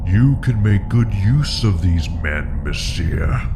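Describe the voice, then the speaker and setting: Amid loud background noise, a man puts on a character voice with a very deep, low pitch, talking at a fairly slow pace. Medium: short film. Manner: smooth, silkily polite, menacing.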